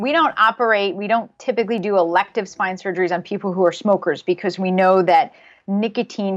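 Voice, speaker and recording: A woman with an American accent speaks at a fairly quick pace and a medium pitch, in an unremarkable speaking voice. Her intonation is fairly even, and the background is quiet. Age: 40s. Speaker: spine surgeon. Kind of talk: interview.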